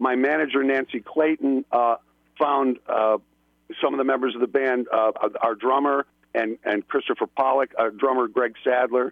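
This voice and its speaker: At a moderate pace, the speaker talks in an upstate New York accent with monotone, flat intonation and very even loudness. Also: man, medium pitch for a man. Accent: upstate New York, flat A's. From Buffalo, New York. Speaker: filmmaker and musician. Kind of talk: casual chat. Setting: phone call.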